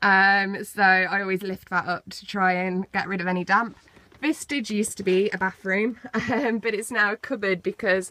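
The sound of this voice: The voice has a bright, sharp tone and keeps a moderate pace. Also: woman.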